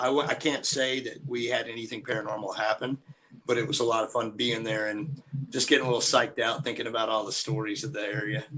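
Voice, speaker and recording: This voice has a Southern US accent and a bright, sharp tone. It moves at a very fast pace with fairly even intonation. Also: man. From Georgia, US South. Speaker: bigfoot enthusiast and musician. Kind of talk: casual chat.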